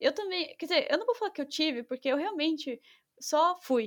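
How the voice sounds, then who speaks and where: A woman's extremely high-pitched voice at a fairly quick pace, with a dry, close sound and no echo. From São Paulo, Brazil. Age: 20s. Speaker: back-end developer. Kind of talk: casual chat.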